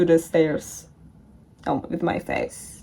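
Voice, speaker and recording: Talking at a very slow pace, a woman has a dark, mellow tone and a non-native accent. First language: not English. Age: young. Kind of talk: casual storytelling to camera.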